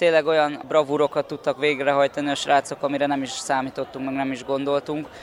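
Very fast, monotone, flat speech from a man with a fairly high pitch, hardly any pauses and noticeable background noise. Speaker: wrestling coach. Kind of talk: radio interview.

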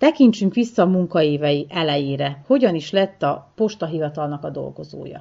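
Here a woman speaks in a plain, everyday voice. Her intonation is lively and her pace moderate. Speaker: radio reporter. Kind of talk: interview.

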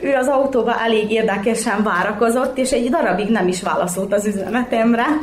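Talking at a fairly quick pace with hardly any pauses, a woman with a fairly high pitch keeps her loudness very even and her pitch variation ordinary, while audible room echo and noticeable background noise surround her. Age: 30s. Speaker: mother of triplets. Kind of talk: interview.

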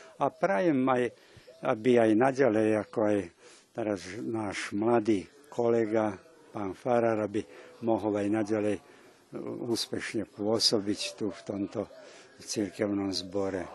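A man speaks at a fairly slow pace, leaving long, frequent pauses. His voice sits fairly low in pitch with ordinary variation. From Vojvodina, Serbia (Slovak minority, Kisáč). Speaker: Lutheran pastor. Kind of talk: interview.

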